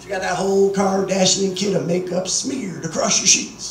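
Amid audible room echo and light background noise, a man with a high pitch speaks at a fairly slow pace. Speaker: stand-up comedian. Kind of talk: stand-up comedy routine. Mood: crude joking. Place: bar. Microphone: camera far.

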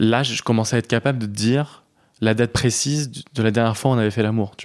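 In a very clean recording with a silent background, a man of medium pitch speaks at a very fast pace with fairly even intonation. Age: 30s. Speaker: interviewee sharing personal story. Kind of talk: casual chat. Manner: halting.

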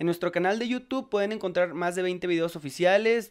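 A man speaks with a high pitch. The background stays quiet. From Monterrey, northern Mexico; Mexico. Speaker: ska band singer; interviewee. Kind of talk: casual interview chat. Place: home room. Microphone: handheld.

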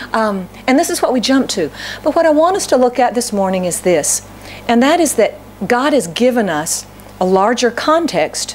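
A woman at a moderate pace over light background noise. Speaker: pastor. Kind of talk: sermon. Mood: warm, light humor. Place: church. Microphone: podium.

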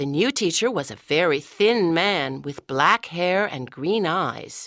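At a fairly slow pace, a woman with a fairly low pitch moves through very wide pitch swings in a very clean recording with a silent background. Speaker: audiobook narrator. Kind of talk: scripted narration. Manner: clear, measured pace for English learners.

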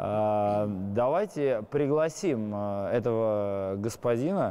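A man speaks with a dark, mellow tone. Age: 30s. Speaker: football fan leader. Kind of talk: interview. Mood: relaxed, smiling.

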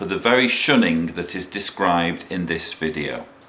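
The speaker is a man with ordinary pitch variation. There is audible room echo. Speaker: commentator. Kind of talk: commentary. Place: home room.

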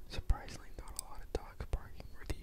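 A soft-spoken man whispers in a dry sound with no echo, against noticeable background noise. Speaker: ASMR creator. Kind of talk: casual ASMR chat, soft-spoken. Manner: soft close-mic whisper. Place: home room. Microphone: handheld.

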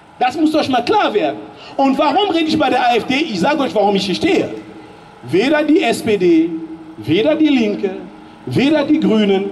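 Over light background noise, a man with an extremely high voice speaks at a moderate pace in an animated tone, his pitch swinging very widely. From Germany. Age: 40s. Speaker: political speaker; speaker. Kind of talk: public speech. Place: street. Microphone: handheld.

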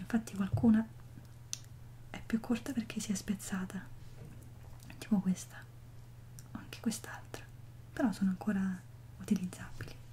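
Soft-spoken and gentle in tone, a moderate pace with long, frequent pauses, big swings in loudness, and light background noise. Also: woman. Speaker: vlogger. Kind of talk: casual vlog chat. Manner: soft, gentle ASMR speaking. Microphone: phone near.

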